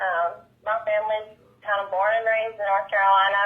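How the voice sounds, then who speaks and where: A woman speaks with a Southern accent at a fairly high pitch. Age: 20s. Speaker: country pop singer. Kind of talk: interview chat.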